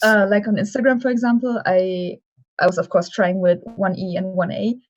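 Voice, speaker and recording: Someone speaks at a moderate pace with a German accent and fairly even intonation. Music plays in the background. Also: woman, medium pitch for a woman. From Germany. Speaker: cosplayer. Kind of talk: interview. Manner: hesitant.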